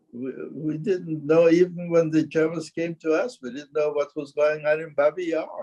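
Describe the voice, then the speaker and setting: A man's dark, mellow voice at a fairly high pitch and moderate pace, with fairly even intonation and big swings in loudness. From Ukraine. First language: Yiddish. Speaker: Holocaust survivor. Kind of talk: interview testimony. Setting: synagogue with audience. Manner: halting, repetitive starts.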